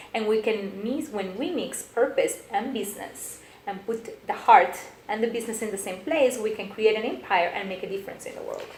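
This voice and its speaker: The speaker has a Colombian accent and talks at a fairly quick pace with ordinary pitch variation. Noticeable background noise and audible room echo fill the recording. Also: woman, fairly high pitch for a woman. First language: Spanish. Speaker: business coach and motivational speaker. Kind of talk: interview. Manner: animated.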